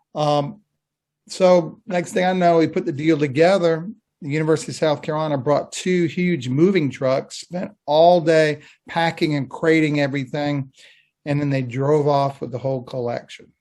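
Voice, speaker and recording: Over a quiet background, an ordinary speaking voice moves at a moderate pace with ordinary pitch variation. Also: man, fairly high pitch for a man. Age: 60s. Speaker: fan collector. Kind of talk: casual chat.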